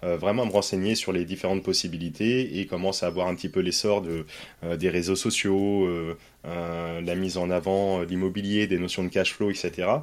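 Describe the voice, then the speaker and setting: The recording is very clean, with a silent background. A man talks at a moderate pace in a very deep, low pitch with monotone, flat intonation. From France, Poitiers. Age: 30s. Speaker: real estate investor, former firefighter. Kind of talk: interview.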